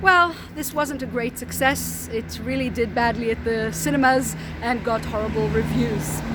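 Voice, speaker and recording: A woman is speaking over noticeable background noise. Room echo is audible. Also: moderate pace. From Israel, Tel Aviv. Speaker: tour guide. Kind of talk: guided tour. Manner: casual with fillers.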